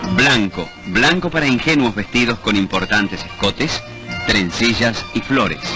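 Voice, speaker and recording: Clear music plays in the background as a man with a medium pitch uses lively intonation, the sound dry with no echo. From Argentina. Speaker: announcer. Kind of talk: newsreel commercial narration. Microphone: old recording.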